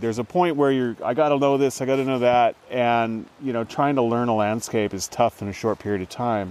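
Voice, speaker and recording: The speaker has an American accent, and noticeable background noise is present. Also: man. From northern California, Trinity River area. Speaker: fisheries biologist and naturalist. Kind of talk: casual conversation. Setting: outdoors in a rainforest.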